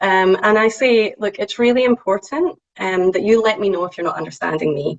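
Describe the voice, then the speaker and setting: A woman with a strong Scottish accent, medium pitch, ordinary pitch variation and a fairly quick pace. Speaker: statistician. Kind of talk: presentation. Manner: hesitant, frequent ums.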